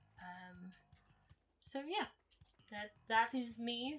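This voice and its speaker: Over music in the background, a woman speaks with an American accent. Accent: sounds American. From Ireland. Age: 20s. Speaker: podcast co-host, gamer and streamer. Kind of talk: casual chat.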